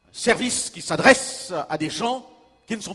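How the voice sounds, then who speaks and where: Intonation is lively here. Still, the man's pace is very slow. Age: 60s. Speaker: pastor and evangelist. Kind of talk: sermon. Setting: church.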